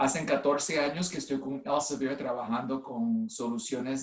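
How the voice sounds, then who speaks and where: Lively intonation marks this man's medium-pitched voice. He talks at a moderate pace. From US (Cleveland, Ohio), Puerto Rican family. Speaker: nurse and clinical informatics executive. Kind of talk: online presentation. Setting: video call from home. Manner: halting, many fillers.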